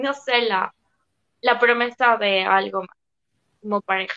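Dry and close with no echo, a woman's fairly high voice has a bright, sharp tone and monotone, flat intonation. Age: 20s. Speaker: psychology student. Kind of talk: casual chat.

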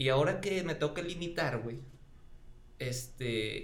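At a fairly slow pace, a man speaks with a Mexican accent and fairly high pitch. His pitch varies an ordinary amount, and audible room echo surrounds him. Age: 30s. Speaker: history teacher. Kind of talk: casual chat.

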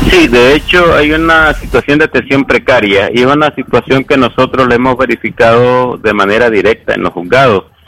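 Male speech at a medium pitch and fairly quick pace, with ordinary pitch variation, hardly any pauses, a dry, close sound without echo, and noticeable background noise. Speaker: human rights lawyer. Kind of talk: expert interview.

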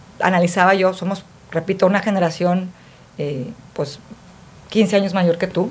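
At a medium pitch, this woman talks at a fairly slow pace. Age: 50s. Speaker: podcast co-host. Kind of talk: casual chat. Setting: studio.

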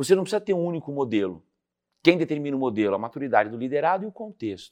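A man with an ordinary speaking voice talks at a medium pitch with lively intonation against a quiet background. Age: 50s. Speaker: leadership speaker and author. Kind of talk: interview.

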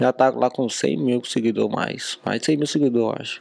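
A man talks in a normal speaking voice at a medium pitch and fairly quick pace, with a dry, close sound with no echo. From Brazil, Minas Gerais. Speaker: car dealer and social media influencer. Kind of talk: casual chat.

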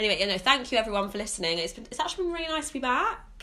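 A woman's raised, projected voice at a very fast pace, with very wide pitch swings and noticeable background noise. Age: 20s. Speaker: podcast host. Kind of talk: casual chat.

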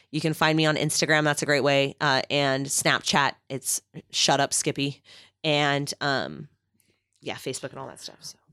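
With a bright, sharp tone and vocal fry, a woman speaks at a very deep, low pitch and moderate pace in a monotone, flat intonation, her loudness swinging widely in a dry, close sound with no echo on a very clean recording with a silent background. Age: 30s. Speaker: therapist and adjunct lecturer, radio host. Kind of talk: casual interview chat.

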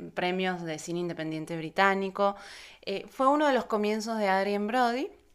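A woman's medium-pitched voice with an Argentine accent, fairly slow, with ordinary pitch variation, on a very clean recording with a silent background. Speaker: film journalist, podcast co-host. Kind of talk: casual chat.

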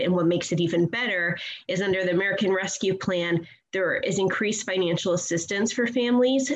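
Noticeable background noise beneath a woman's mid-range voice and her moderate pace. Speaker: advocacy group director. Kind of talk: radio interview.

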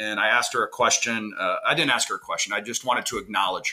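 Here a man is speaking. His tone is bright and sharp. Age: 40s. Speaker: podcast host, former basketball coach. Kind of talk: casual interview.

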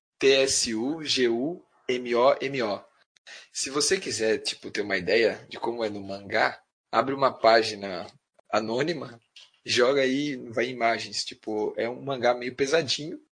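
At a fairly slow pace, a man uses a normal speaking voice with medium pitch and ordinary pitch variation against a quiet background. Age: 30s. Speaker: anime fan. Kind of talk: casual chat.

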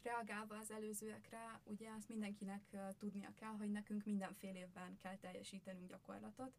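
Her voice is somewhat breathy. This woman speaks with monotone, flat intonation. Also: medium pitch for a woman, moderate pace. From Győr, Hungary. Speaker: social pedagogy student. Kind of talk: podcast interview.

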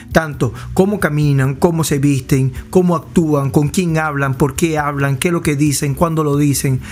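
Fairly slow speech in a Venezuelan accent, with fairly even intonation and hardly any pauses, over music in the background. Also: man, fairly high pitch for a man. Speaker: podcast co-host. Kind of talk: casual chat.

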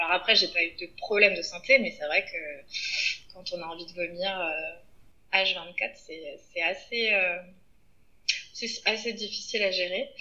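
Noticeable background noise runs under a woman speaking at a fairly slow pace with a medium pitch. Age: 30s. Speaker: podcast guest, mother. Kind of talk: casual interview. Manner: hesitant, many fillers.

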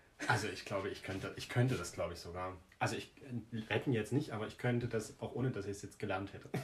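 Talking at a very fast pace, a man uses a fairly low pitch with ordinary variation. His voice is somewhat breathy. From Germany, village near Jena (Thuringia). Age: 20s. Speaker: podcast co-host. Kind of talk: casual chat.

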